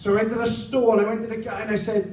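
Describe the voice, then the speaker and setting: With audible room echo and noticeable background noise, a man talks at a fairly quick pace in a high voice, his intonation fairly even. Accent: Welsh. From South Wales. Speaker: stand-up comedian. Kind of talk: stand-up. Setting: stage with audience.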